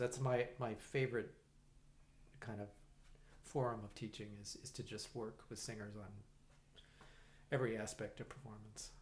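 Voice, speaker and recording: A man speaks at a moderate pace in a somewhat breathy voice. He leaves long, frequent pauses. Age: 60s. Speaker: musician and conductor. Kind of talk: casual interview chat. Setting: in-person podcast recording. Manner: halting, many fillers and restarts.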